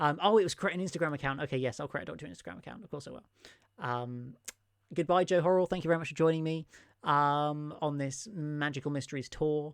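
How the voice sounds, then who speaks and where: Over a silent background in a very clean recording, a man talks very fast with an English accent. His pitch is fairly high and varies in an ordinary way. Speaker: Doctor Who YouTuber. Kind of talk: live stream chat with viewers. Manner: animated.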